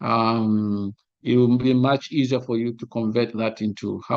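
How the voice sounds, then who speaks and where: Medium in pitch, the man's delivery keeps a fairly even intonation. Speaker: monitoring and evaluation trainer. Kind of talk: lecture. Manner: halting.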